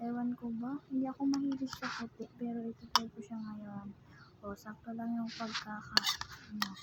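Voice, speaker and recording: A soft-spoken woman with a fairly high pitch talks in monotone, flat intonation over noticeable background noise. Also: moderate pace, big swings in loudness. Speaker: food vlogger. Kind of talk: mukbang eating vlog. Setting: upstairs at home. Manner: casual with eating pauses. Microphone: voice may be too quiet.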